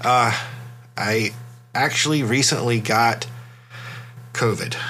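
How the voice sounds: At a slow pace, a man speaks in a medium pitch with ordinary pitch variation and a bright, sharp tone.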